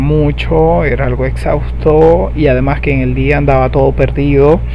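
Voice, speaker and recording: A very deep, low-pitched man at a very slow pace, monotone and flat, with audible room echo and noticeable background noise. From Venezuela. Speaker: podcaster. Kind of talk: personal monologue. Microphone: poor sound quality.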